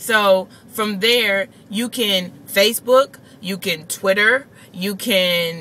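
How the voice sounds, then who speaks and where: A woman speaks with ordinary pitch variation over light background noise. The sound is dry, with no echo. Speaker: vlogger. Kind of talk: casual vlog chat. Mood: annoyed, venting a gripe. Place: car. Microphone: phone near.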